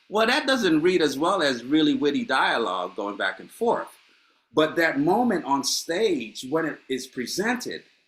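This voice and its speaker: Animated in tone, a man speaks at a moderate pace with vocal fry and very wide pitch swings. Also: fairly high pitch for a man. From Honduras, moved to Los Angeles at 13. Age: 60s. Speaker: playwright. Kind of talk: panel discussion. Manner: animated, repeats words.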